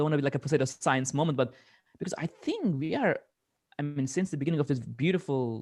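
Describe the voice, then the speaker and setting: With a non-native accent, a man talks at a fairly high pitch with ordinary pitch variation. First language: not English. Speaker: media artist. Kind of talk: panel discussion.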